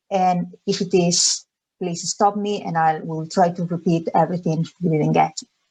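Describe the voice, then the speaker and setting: Moderate pace and fairly even intonation in a Spanish accent. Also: woman, fairly low pitch for a woman. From Spain, Galicia. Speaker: charity education officer. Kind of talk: webinar presentation. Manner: hesitant, many fillers.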